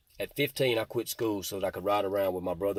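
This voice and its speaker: A man with a Mississippi accent talks at a very fast pace in a very deep, low pitch with ordinary pitch variation, on a very clean recording with a silent background. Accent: Southern US (Mississippi). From US South, Mississippi (Jackson and Rankin County). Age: 40s. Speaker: recovered addict and former gang member. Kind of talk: testimony.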